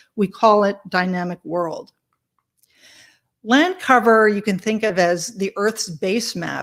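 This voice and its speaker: Over a silent background in a very clean recording, a woman speaks fairly slowly at a medium pitch with ordinary pitch variation. She has an unremarkable speaking voice. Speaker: tech researcher presenting a mapping project. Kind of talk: conference presentation.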